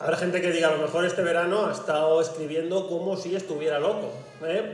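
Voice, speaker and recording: Light background noise and audible room echo surround a man who talks at a fairly quick pace in a high voice. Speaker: stand-up comedian. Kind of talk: stand-up comedy routine. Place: stage.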